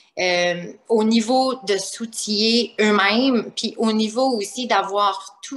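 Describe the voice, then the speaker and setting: Her pace is very slow, and her pitch is fairly high with ordinary variation. This woman speaks with a slight New Brunswick accent. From New Brunswick, Canada (Acadian). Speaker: primary school teacher and author. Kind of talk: interview.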